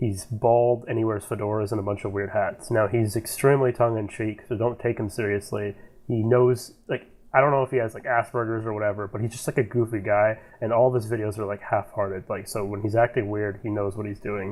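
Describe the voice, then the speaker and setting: A man speaks at a fairly quick pace with a fairly low pitch. His intonation is monotone and flat. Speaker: podcast host. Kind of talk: casual chat. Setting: voice chat call. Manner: halting.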